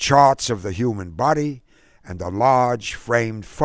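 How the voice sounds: A natural reading voice showing ordinary shifts in pitch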